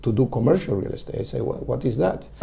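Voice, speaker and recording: A man with an Argentine accent has a dark, mellow tone at medium pitch, with vocal fry and lively intonation. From Argentina. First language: Spanish. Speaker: commercial real estate broker. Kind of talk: interview. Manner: halting, many fillers.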